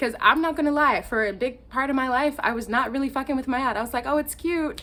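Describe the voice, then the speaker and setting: A woman speaks loudly and fairly quickly, high in pitch. Her tone is animated, with ordinary pitch variation. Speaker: spiritual content creator. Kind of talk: casual vlog monologue. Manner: loud and animated; scattered, filler-heavy.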